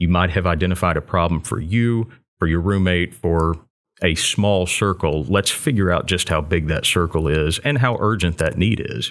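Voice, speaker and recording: Very deep and low in pitch, the man speaks with a slight Texan accent at very even loudness. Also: ordinary pitch variation, moderate pace, very clean recording, silent background. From Texas (Waco). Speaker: entrepreneurship center director. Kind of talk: interview. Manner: consistent, polished delivery.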